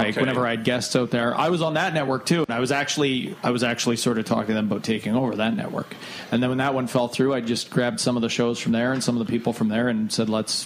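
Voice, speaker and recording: A man of medium pitch speaks very fast with hardly any pauses, very even loudness, ordinary pitch variation and a slight northern Ontario accent, against noticeable background noise. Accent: Canadian, slight northern Ontario. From Thunder Bay, Canada. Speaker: podcast host. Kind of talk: casual chat.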